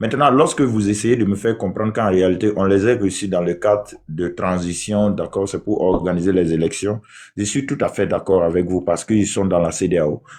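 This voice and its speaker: Speaking at a fairly quick pace, a man with a Burkinabe accent has a fairly low pitch and ordinary pitch variation. The background is quiet. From southwest Burkina Faso. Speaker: debate participant. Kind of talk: heated debate. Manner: halting.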